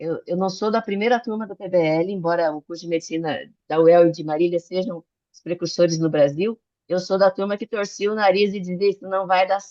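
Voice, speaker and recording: A woman's dark, mellow voice at a fairly quick pace, with big swings in loudness and a dry, close sound with no echo. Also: medium pitch for a woman. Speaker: physician and medical educator. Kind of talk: online talk / lecture. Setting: video call. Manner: fast; animated.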